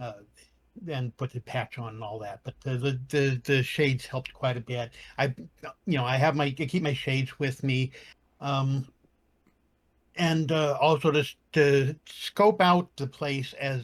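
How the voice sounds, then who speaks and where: A man's fairly high, somewhat breathy voice at a fairly slow pace, with long, frequent pauses, ordinary pitch variation, and a dry, close sound free of echo. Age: 60s. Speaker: cosplayer. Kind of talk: panel podcast discussion.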